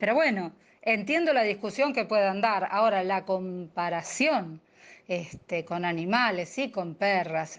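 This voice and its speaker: A woman's plain, everyday voice at a medium pitch, fairly slow in pace, with ordinary pitch variation against a quiet background. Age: 60s. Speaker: activist. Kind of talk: radio interview.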